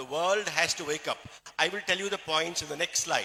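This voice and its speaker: Here a man talks at a fairly quick pace in a high pitch. His intonation stays fairly even. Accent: Keralan. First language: Malayalam. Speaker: doctor giving a health talk. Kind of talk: motivational health talk. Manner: halting.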